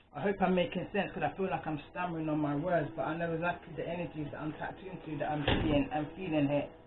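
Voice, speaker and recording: Very fast talk from a man with a fairly high pitch, fairly even intonation and hardly any pauses, over noticeable background noise. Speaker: tarot reader. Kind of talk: tarot reading. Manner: halting.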